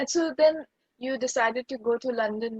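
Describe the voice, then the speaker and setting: A woman's high-pitched voice, with a dry, close sound and no echo. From outside the UK. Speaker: podcast host. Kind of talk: interview conversation.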